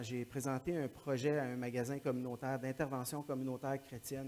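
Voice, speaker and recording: Speaking at medium pitch, a man keeps his intonation monotone and flat. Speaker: missionary. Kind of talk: church talk.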